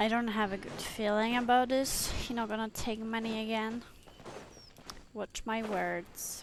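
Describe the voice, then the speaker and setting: Over noticeable background noise, a woman talks at a fairly slow pace in a fairly high pitch with monotone, flat intonation. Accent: non-native. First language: not English. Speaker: gaming streamer. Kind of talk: casual let's play commentary.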